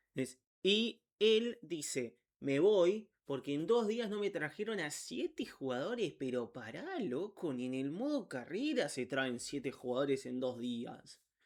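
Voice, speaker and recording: A man with a fairly high pitch and very wide pitch swings, at a very slow pace, on a very clean recording with a silent background. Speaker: football YouTuber. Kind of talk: unedited narration of a biography with asides. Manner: halting, stumbles over words.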